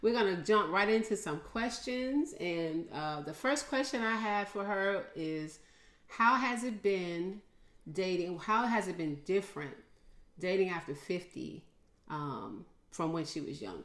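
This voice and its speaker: Speaking at a fairly slow pace, a woman with a medium-pitched voice uses lively intonation, and there is audible room echo. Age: 60s. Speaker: podcast host. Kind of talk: casual interview.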